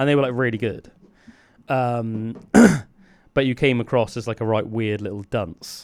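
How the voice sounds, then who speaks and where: Delivered at a moderate pace with long, frequent pauses, a man's speech has an English accent, a medium pitch, and fairly even intonation. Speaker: podcast and radio host. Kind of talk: casual chat.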